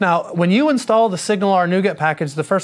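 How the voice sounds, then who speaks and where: This man has a Southern US accent and talks at a very fast pace. His pitch variation is ordinary. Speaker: software developer presenter. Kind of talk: live technical tutorial. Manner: casual, many fillers.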